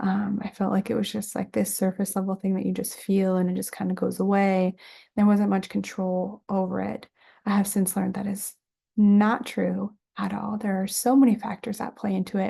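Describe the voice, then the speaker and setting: A woman's dark, mellow, somewhat breathy voice with monotone, flat intonation, against a quiet background. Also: medium pitch for a woman, moderate pace. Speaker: student. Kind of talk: class presentation video. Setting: home bedroom, recording on camera.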